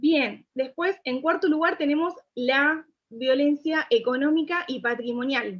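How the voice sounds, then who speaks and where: This is a woman's voice. Her pitch is high. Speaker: pro-life speaker. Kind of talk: lecture.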